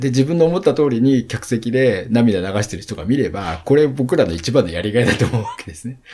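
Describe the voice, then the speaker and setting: This man talks at a fairly quick clip with hardly any pauses, his medium-pitched voice full of lively intonation. His loudness swings widely, and noticeable background noise runs underneath. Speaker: event company CEO. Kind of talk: interview.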